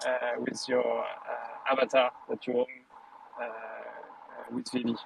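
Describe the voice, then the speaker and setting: A man talks fairly slowly while noticeable noise runs in the background. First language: not English. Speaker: audience member in live audio room. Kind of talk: casual chat. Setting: online audio room. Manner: halting, many fillers.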